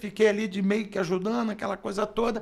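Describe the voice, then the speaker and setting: With an animated tone, a man talks at a very fast pace in a high pitch. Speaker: radio announcer and sports journalist. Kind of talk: interview storytelling.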